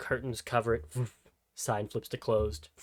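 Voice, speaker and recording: With lively intonation and vocal fry, the voice comes through in a dry, close sound with no echo. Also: man. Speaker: game master of tabletop roleplaying game. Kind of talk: tabletop roleplay narration and character voices.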